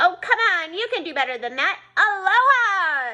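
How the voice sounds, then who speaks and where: Loud and squeaky, a woman uses a put-on character voice at an extremely high pitch, moderate in pace, with very wide pitch swings. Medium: read story. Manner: loud, cheerful.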